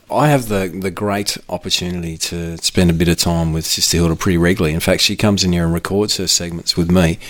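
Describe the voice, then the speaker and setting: Here a man talks very fast with an Australian accent and hardly any pauses. His pitch is very deep and low. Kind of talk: casual chat. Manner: animated.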